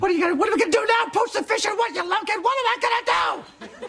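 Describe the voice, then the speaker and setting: A man uses a put-on character voice at an extremely high pitch, talking at a fairly quick pace. Background noise is clearly audible. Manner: scolding, exasperated.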